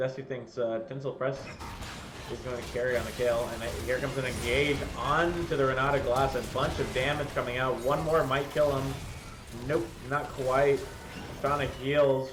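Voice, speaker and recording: Long, frequent pauses break up the speech, which carries an audible room echo and noticeable background noise. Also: man, medium pitch for a man, moderate pace. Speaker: esports caster. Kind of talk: live commentary. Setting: live stream. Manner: animated.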